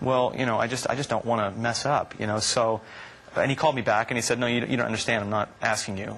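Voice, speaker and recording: Noticeable background noise sits behind a man talking. He speaks very fast in a monotone, flat intonation. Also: medium pitch for a man. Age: 20s. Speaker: singer. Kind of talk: interview answer.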